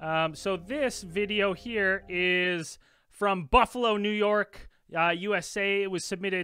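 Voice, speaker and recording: A man's raised, projected voice with a bright, sharp tone at a very slow pace, dry with no echo against a quiet background. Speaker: podcast host presenting the video. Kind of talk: podcast commentary, reading a submission. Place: home room.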